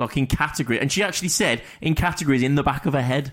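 Fairly quick speech with an English accent, on a very clean recording with a silent background. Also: man. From England. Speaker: podcast co-host. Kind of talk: casual chat.

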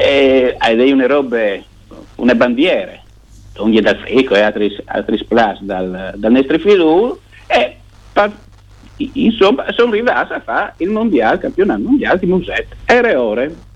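The delivery moves at a fairly slow pace. Long, frequent pauses break it up. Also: man. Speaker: newspaper journalist. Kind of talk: casual radio interview.

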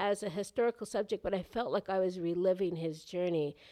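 The sound is dry and close, with no echo. A woman with a New York accent talks at a moderate pace. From New York City, Lower East Side. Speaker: author and documentary filmmaker. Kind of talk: interview.

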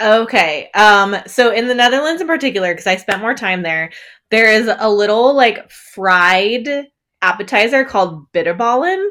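Her intonation is lively and her pitch fairly high. The woman's tone is bright and sharp. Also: moderate pace. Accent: American. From northern Wisconsin. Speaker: perinatal fitness coach. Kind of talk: interview.

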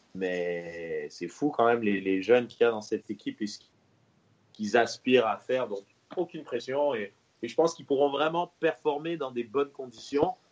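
Speaking at a moderate pace, a man's voice shows big swings in loudness. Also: medium pitch for a man, lively intonation. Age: 30s. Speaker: football pundit. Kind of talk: casual chat. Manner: halting.

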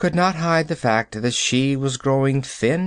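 The reading voice is unforced, with pitch that varies in an ordinary way.

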